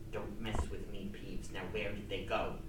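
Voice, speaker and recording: A woman talks at a moderate pace in a put-on character voice. There is slight echo and loud background noise. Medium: read story.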